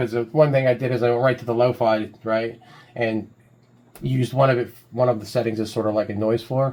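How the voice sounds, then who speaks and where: The delivery moves at a fairly quick pace. The intonation is monotone and flat. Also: man, medium pitch for a man. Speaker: music producer demonstrating a plugin. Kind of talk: tutorial. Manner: casual, hesitant with fillers; loud. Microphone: mic very close.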